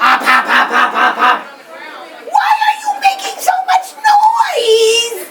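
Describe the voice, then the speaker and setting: Someone shouts in a put-on character voice at an extremely high pitch. The pace is fairly slow. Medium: read story.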